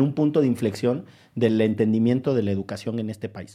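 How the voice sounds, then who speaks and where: The tone is dark and mellow, with ordinary pitch variation. The pace is fairly quick and the background is quiet. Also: man. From Orizaba, Veracruz. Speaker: podcast host, lawyer. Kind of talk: casual conversation.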